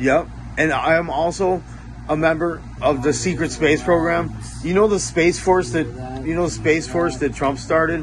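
A man speaks over noticeable background noise. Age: 40s. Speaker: spiritual content creator. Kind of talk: reading aloud. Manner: halting.

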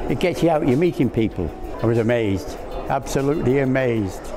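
Over noticeable background noise, a man talks at a fairly quick pace with very wide pitch swings. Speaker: award runner-up. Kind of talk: interview answer. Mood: warm, pleased, amazed. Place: hall.

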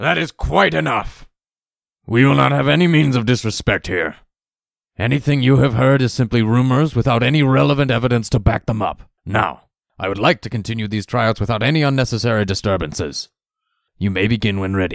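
A man at medium pitch, fairly quick in pace, with very wide pitch swings. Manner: calm, authoritative.

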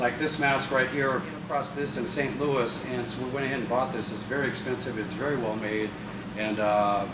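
A man at a moderate pace with ordinary pitch variation, under loud background noise. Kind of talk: casual introduction to camera. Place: hall. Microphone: camera far.

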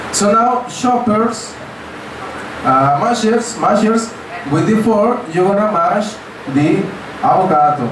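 A man's high voice with lively intonation and very even loudness at a very slow pace, broken by long, frequent pauses, amid audible room echo and noticeable background noise. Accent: Spanish. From Mexico. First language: Spanish. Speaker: cooking class instructor. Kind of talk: cooking class demonstration. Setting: outdoor cooking class with tourist group. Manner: animated.

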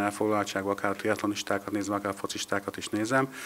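Over light background noise, a man talks at a very fast pace with a fairly low pitch. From Hungary. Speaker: local association organiser. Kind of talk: on-location interview. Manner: halting, repetitive. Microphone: handheld.

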